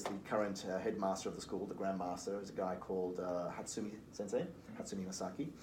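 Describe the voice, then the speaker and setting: A man with a fairly low voice, talking at a very fast pace, with audible room echo. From Liverpool, England. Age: 40s. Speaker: recruitment firm founder. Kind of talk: podcast interview.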